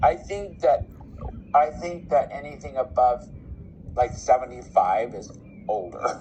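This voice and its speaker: A man's fairly slow speech with long, frequent pauses, big swings in loudness and noticeable background noise. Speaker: intuitive reader / psychic medium. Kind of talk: psychic reading.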